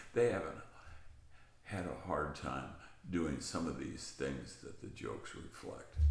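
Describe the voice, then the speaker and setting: Over audible room echo, a man with a very deep, low voice and vocal fry speaks at a fairly slow pace with lively intonation and long, frequent pauses. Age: 80s+. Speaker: aging channel host. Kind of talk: casual monologue.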